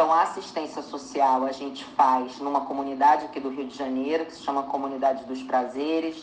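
With audible room echo and noticeable background noise, a woman at a very deep, low pitch talks at a fairly quick pace with hardly any pauses, her intonation monotone and flat and her loudness swinging widely. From Brazil. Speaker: actress and screenwriter. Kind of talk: interview.

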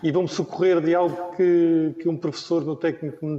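With a dark, mellow tone, the man speaks at a fairly quick pace. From Madeira, Portugal. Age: 50s. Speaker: former Olympic windsurfer. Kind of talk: panel discussion. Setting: remote video call.

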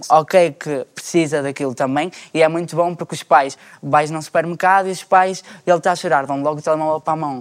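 A man in a normal speaking voice talks at a fairly quick pace and fairly high pitch, intonation fairly even but loudness swinging widely, in a very clean recording with a silent background. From Portugal, Porto. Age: 20s. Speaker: panel guest. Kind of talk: casual chat.

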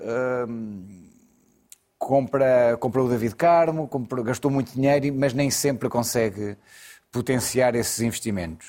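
A man's dark, mellow tone at a fairly slow pace, with ordinary pitch variation, on a very clean recording with a silent background. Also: medium pitch for a man. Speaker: football pundit, Sporting supporter. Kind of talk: studio football debate. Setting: TV studio. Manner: hesitant, many fillers.

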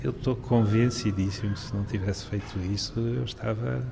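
At a moderate pace, a man is speaking. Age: 60s. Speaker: retired journalist with Parkinson's. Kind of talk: interview. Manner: halting.

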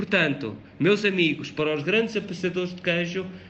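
In a room with audible echo, a man speaks at a high pitch with fairly even intonation. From Portugal, Beira Interior (Covilhã). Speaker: radio presenter. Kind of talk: informal radio talk. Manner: hesitant, with fillers.

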